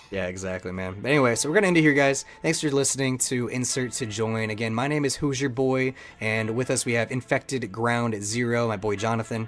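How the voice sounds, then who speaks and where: A man with a medium-pitched voice talks at a fairly quick pace with hardly any pauses and ordinary pitch variation. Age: 20s. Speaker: podcast co-host and streamer. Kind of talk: casual podcast chat. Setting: live stream. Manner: animated.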